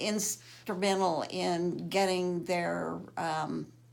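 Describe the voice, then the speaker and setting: There is audible room echo around this woman's medium-pitched voice. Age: 70s. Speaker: cancer patient. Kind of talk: testimony.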